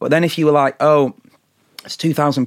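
Someone talks at a very fast pace with a Lancashire accent. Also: man. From northern England, Blackpool. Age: 20s. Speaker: singer-songwriter. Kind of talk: casual chat. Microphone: Shure SM7 studio mic.

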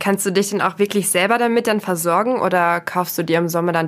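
In a very clean recording with a silent background, a woman talks fairly quickly in a plain, everyday voice that sits fairly low in pitch. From rural Germany. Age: 20s. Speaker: podcast host. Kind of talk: casual interview.

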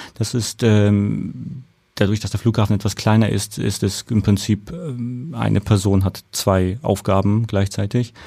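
The voice has a dark, mellow tone, ordinary pitch variation and a fairly slow pace, in a very clean recording with a silent background. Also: man, fairly low pitch for a man. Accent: slight Franconian. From Germany, Nuremberg (Franconia). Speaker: airport operations manager. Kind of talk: interview. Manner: halting, many fillers.

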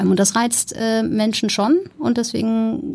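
On a very clean recording with a silent background, a woman's voice sounds dark and mellow and somewhat breathy. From Germany, Ruhr area. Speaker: entrepreneur, founder of a tech training school. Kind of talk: interview.

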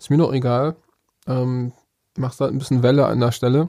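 In a medium pitch, a man talks at a moderate pace with fairly even intonation. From northern Germany, Bremerhaven. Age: 30s. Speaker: rapper. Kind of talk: interview.

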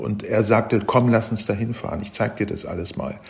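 Amid noticeable background noise, a man speaks at a moderate pace, his fairly low pitch kept to fairly even intonation. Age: 70s. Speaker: travel writer and reporter. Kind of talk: interview. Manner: halting, many fillers and repetitions.

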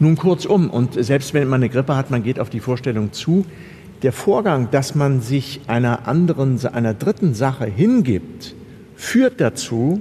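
Noticeable background noise sits behind a man speaking at a medium pitch. He talks at a fairly slow pace with lively intonation. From Germany, Kassel (northern Hesse). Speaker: stage actor and photographer. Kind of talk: interview conversation. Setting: seated on a sofa inside a theatre building.

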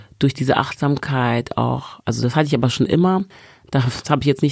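Talking at a fairly quick pace, a woman with a very deep, low pitch uses ordinary pitch variation. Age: 40s. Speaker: stage coach and author. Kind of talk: casual chat. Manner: animated.

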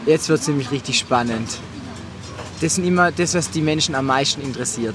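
The speaker has an animated tone and ordinary pitch variation. Noticeable background noise is present. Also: man. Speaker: podcast host and party singer. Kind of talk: casual chat. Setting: outdoors at a Mallorca party venue.

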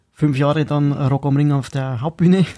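Fairly even intonation comes through a voice with a dark, mellow tone. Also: man. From Bavaria, Upper Palatinate (Schwandorf). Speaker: punk rock drummer. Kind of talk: casual interview.

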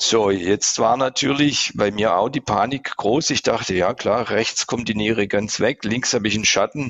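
Medium-pitched male voice, an unremarkable speaking voice, moderate in pace and ordinary in pitch variation. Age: 50s. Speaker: patient. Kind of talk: casual interview, patient testimony.

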